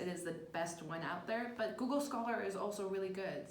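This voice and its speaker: Speech in a Spanish accent, with audible room echo and noticeable background noise. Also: woman. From Puerto Rico. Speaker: graduate student. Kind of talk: casual advice chat.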